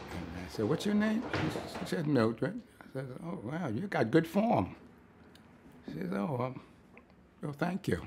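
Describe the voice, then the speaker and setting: A man with very wide pitch swings, a fairly slow pace and long, frequent pauses, over light background noise. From New York, Brooklyn; New York. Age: 80s+. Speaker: war veteran. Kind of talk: interview monologue. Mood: warm, smiling storytelling. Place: home room.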